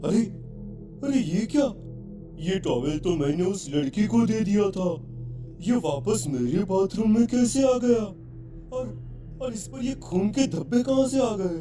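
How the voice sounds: A man puts on a cartoonish character voice, high-pitched, at a moderate pace with long, frequent pauses. Clear music plays in the background.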